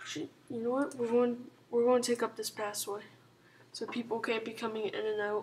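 A woman speaks quietly at a moderate pace. Her intonation is fairly even. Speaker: gaming commentator. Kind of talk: gameplay commentary. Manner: casual, hesitant with fillers.

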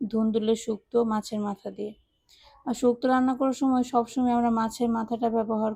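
A woman's fairly high, somewhat breathy voice has a dark, mellow tone and a monotone, flat intonation. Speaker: cooking and lifestyle vlogger. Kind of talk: vlog narration.

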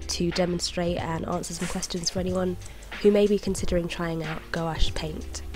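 With music playing in the background, a woman with a British accent speaks at a fairly quick pace. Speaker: artist, illustrator. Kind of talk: tutorial voice-over.

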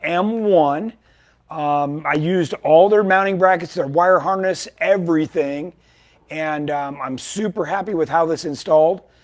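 A man's high-pitched voice at a fairly slow pace, with fairly even intonation and a quiet background. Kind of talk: casual product update talk. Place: shop.

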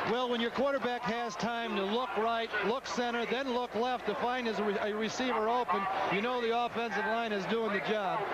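Over noticeable background noise, a man with an extremely high pitch talks in a flat monotone at a moderate pace, his loudness very even and hardly any pauses. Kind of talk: vintage college football radio/TV game commentary, with an ad break.

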